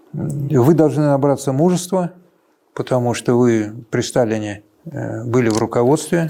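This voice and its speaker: Speaking at a fairly slow pace, a man uses a medium pitch and a dark, mellow tone with ordinary pitch variation. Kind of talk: interview recollection.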